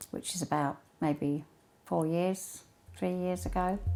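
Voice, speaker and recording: Music plays in the background as a woman speaks at a fairly slow pace and fairly low pitch. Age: 70s. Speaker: retiree and extreme sports enthusiast. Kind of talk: interview.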